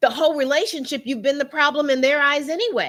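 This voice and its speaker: A loud, animated woman's voice, high-pitched with a bright, sharp tone. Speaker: relationship coach livestream host. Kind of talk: live stream talk to viewers. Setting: live stream.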